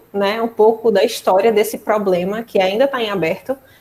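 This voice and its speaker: This woman has a fairly high pitch, a normal speaking voice, and ordinary pitch variation. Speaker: mathematics lecturer. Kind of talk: online lecture.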